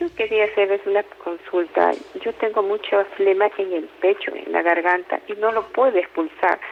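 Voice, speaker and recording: A woman's medium-pitched voice at a moderate pace, fairly even in intonation, with noticeable background noise. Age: 60s. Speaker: caller. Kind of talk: phone-in consultation. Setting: phone call. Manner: halting.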